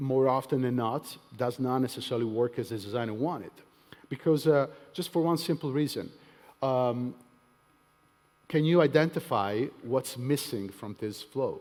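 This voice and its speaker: Speaking with a non-native accent, the voice pauses often and at length. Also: man, medium pitch for a man, ordinary pitch variation, moderate pace. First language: not English. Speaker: tech evangelist. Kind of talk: conference talk. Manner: hesitant, many fillers.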